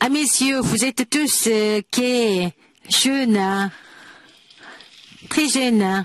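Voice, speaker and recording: A woman speaks at a very slow pace in a fairly high pitch, with ordinary pitch variation, very even loudness and long, frequent pauses. The sound is dry and close with no echo, with noticeable background noise. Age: 80s+. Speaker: preacher. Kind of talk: sermon. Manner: halting, many hesitations.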